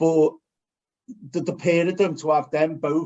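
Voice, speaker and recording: Using a Liverpool accent, a man speaks at a fairly slow pace. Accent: Scouse. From Liverpool, England. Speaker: podcast co-host. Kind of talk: casual chat.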